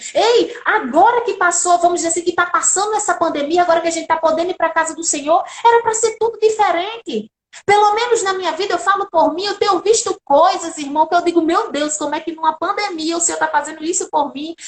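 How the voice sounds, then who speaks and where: The voice sounds animated, moving at a fairly quick pace with hardly any pauses. Its pitch varies in an ordinary way. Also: woman, extremely high pitch for a woman. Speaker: lawyer and lay preacher. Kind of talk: sermon.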